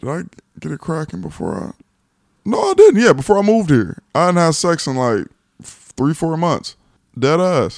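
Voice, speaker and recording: A man with an American accent speaks at a moderate pace in a fairly high pitch, his intonation lively and broken by long, frequent pauses. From Los Angeles, California. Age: 20s. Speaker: guest co-host. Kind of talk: casual chat.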